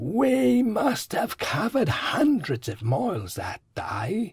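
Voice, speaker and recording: A high-pitched man speaks at a very slow pace, his voice making very wide pitch swings. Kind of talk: comic sitcom acting. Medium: audio drama.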